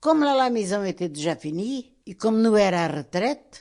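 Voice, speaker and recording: A woman speaks with lively intonation. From Portugal. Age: 80s+. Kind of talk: interview answer.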